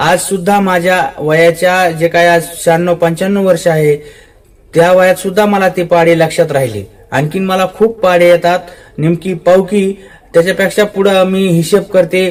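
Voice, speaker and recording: Monotone and flat in intonation, a man speaks with a high pitch. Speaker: local news presenter. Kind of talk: casual report to camera.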